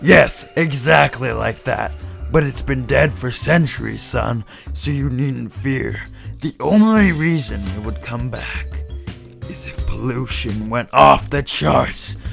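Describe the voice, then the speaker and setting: Over clear music in the background, a man uses a put-on character voice, very deep and low, with very wide pitch swings at a fairly slow pace. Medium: audio drama. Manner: rambling, folksy.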